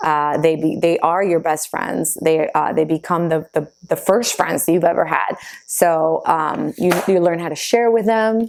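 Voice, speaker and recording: A woman with a fairly low pitch talks at a fairly slow pace with ordinary pitch variation. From Argentina (Buenos Aires) until six, then New Jersey. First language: Spanish. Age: 30s. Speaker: vlogger. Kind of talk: casual Q&A vlog. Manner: hesitant with fillers.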